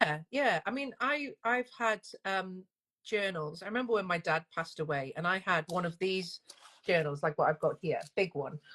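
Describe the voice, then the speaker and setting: This woman has a Northern English accent and a bright, sharp tone at a medium pitch. Her intonation is lively, and the sound is dry and close with no echo. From northern England. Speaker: single-parent coach. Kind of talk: interview. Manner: fast.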